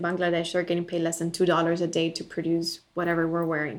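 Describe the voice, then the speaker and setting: Very fast speech from a woman with a Spanish accent, her pitch fairly low. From Bolivia. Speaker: ethical lifestyle entrepreneur. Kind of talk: casual interview.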